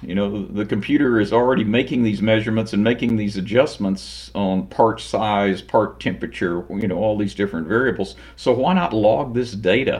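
An ordinary speaking voice moving at a fairly quick pace, with ordinary pitch variation. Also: man. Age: 60s. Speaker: automation company president. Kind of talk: interview.

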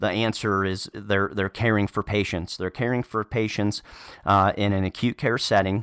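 Dry and close with no echo, the recording holds a man's fairly low, monotone voice with flat intonation. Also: moderate pace, very clean recording, silent background. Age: 30s. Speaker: nurse turned medical sales manager. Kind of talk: interview. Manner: halting, many fillers and repetitions.

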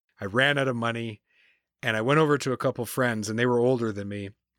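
A man's medium-pitched normal speaking voice with a Canadian accent, at a fairly quick pace with fairly even intonation, in a very clean, dry, close recording with no echo and a silent background. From New Brunswick, Canada. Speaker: consultant and podcast host. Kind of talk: interview, life story.

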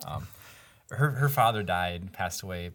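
Speaking at a moderate pace with an American accent, a man has a somewhat breathy voice and lively intonation on a very clean recording with a silent background. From various parts of the US. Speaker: property developer. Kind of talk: casual interview.

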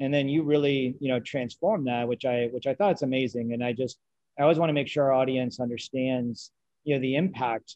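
Using an ordinary speaking voice, a man talks at a fairly quick pace with a medium pitch and ordinary pitch variation. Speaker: podcast host and finance executive. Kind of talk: interview. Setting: video call.

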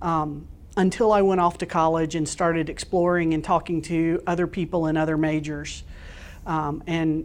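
In an American accent, a woman speaks at a fairly slow pace. She has an ordinary speaking voice with fairly low pitch. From US South, Florida Panhandle. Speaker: telecom executive. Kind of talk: interview.

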